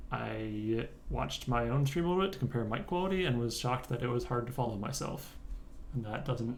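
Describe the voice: Medium pitch from a man, a slightly mellow tone and a moderate pace, with audible room echo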